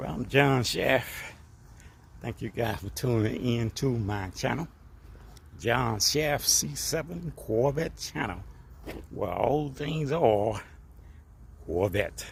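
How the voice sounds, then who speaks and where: A man speaks at a very slow pace in a medium pitch. His intonation is lively, with long, frequent pauses. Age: 60s. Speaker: car vlogger. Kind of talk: casual vlog monologue. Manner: hesitant, many fillers and repetitions.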